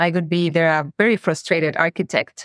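Spoken at a fairly quick pace in a Mexican accent, the voice is monotone and flat, with a dry, close sound, no echo, and a quiet background. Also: woman. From Mexico. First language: Spanish. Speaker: marketing operations executive. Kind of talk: podcast interview. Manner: candid.

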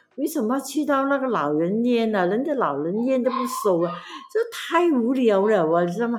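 Noticeable background noise sits behind a woman speaking at a moderate pace. Her fairly high pitch swings very widely. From Malaysia, Pahang. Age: 70s. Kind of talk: casual family interview. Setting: camping at grandmother's home.

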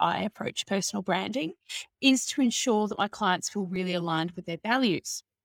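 An ordinary speaking voice comes from a woman at a medium pitch, fairly quick in pace and lively in intonation. The recording is very clean with a silent background, dry and close with no echo. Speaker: marketing consultant and coach. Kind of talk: casual interview chat.

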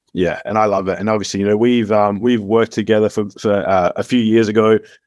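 With an Australian accent, a man speaks fairly quickly at a fairly low pitch. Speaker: podcast host. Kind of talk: casual interview chat.

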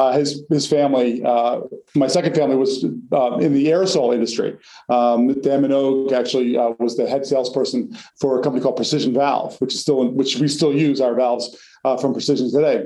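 At a fairly quick pace, a man with an American accent speaks in a dark, mellow tone at medium pitch, with fairly even intonation and very even loudness, and there is audible room echo. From US Northeast, North Jersey. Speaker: company founder. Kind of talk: interview.

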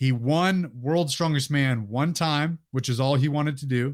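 A man with an American accent has a plain, everyday voice at a medium pitch. He speaks at a moderate pace with fairly even intonation on a very clean recording with a silent background. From Northern California (Sacramento area). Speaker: Marine veteran and fitness YouTuber. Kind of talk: casual interview.

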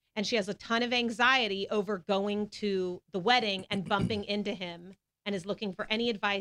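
The tone is bright and sharp, with fairly even intonation. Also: woman. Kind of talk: casual chat.

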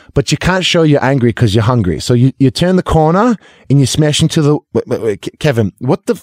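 A man with an American accent speaks in a plain, everyday voice, fairly high-pitched, at a fairly quick pace, with very even loudness and lively intonation. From Massachusetts, Lexington. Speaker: actor and former basketball player. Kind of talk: casual interview chat. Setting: studio.

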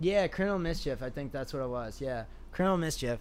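In a room with audible echo, a man speaks fairly quickly at a fairly high pitch with ordinary variation. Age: 20s. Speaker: skateboarder and artist. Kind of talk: casual chat.

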